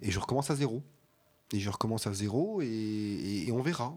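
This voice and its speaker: Fairly low in pitch, a man's dark, mellow voice moves at a moderate pace with ordinary pitch variation. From Alsace, France. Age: 40s. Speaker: regional culture magazine publisher. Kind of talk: radio interview.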